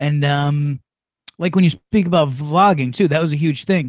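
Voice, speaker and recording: A man with a plain, everyday voice at a fairly quick pace, in a dry, close sound with no echo. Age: middle-aged. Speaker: podcast host, former radio host. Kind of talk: casual chat. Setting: livestreamed podcast.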